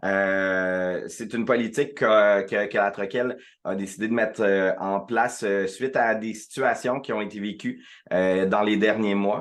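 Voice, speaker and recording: Against a quiet background, the speaker goes at a fairly slow pace with fairly even intonation. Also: man, fairly low pitch for a man. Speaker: director of a regional community organization network. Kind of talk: online presentation to members. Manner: many filler hesitations (euh).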